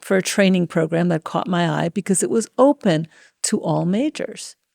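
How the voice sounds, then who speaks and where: A woman with a medium pitch is heard on a very clean recording with a silent background and a dry, close sound with no echo. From New York City, Washington Heights (Dominican family). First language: Spanish. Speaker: tech executive. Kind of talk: interview. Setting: conference venue.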